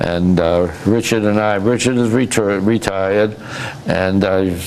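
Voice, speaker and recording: With a Massachusetts accent, a man talks at a fairly slow pace in a fairly low pitch, keeping very even loudness and fairly even intonation, amid noticeable background noise and audible room echo. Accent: New England (Massachusetts). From Massachusetts, Fitchburg. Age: 80s+. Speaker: retired businessman and community volunteer. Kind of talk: interview. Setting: TV studio. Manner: halting, repeats words.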